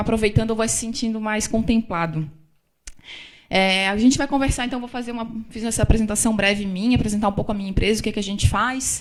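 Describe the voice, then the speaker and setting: Amid audible room echo, a woman talks at a very fast pace with a fairly high pitch and fairly even intonation. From Florianópolis, southern Brazil. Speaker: business consultant. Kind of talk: lecture. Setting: stage with audience.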